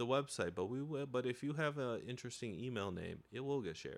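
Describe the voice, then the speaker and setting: A man speaks at a moderate pace in an unremarkable speaking voice, his medium pitch showing ordinary pitch variation, on a very clean recording with a silent background. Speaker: podcast co-host. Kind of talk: casual comedic banter. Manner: bantering, teasing.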